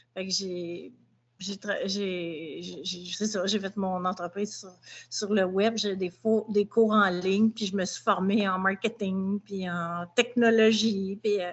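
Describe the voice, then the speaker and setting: Speaking at a very slow pace in a monotone, flat intonation, this voice carries a Quebec accent. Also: woman, medium pitch for a woman, big swings in loudness. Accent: Québécois French. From Quebec, Montreal. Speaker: dog behaviour trainer. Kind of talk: testimony.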